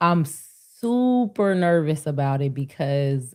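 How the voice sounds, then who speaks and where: A woman with a very deep, low pitch speaks in an animated tone. Her intonation is lively, and the recording is very clean with a silent background. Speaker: livestream panelist. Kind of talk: casual chat.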